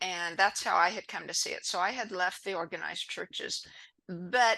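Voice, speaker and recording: Speaking at a medium pitch and a moderate pace, a woman varies her pitch in an ordinary way. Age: 60s. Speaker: spiritual healer. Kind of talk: interview. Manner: halting.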